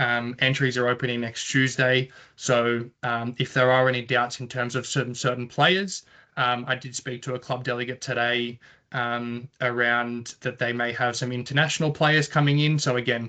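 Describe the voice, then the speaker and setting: Against a quiet background, a man with an Australian accent speaks at medium pitch in a bright, sharp tone with monotone, flat intonation. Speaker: tennis competition organiser. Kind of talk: online information session presentation. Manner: fast.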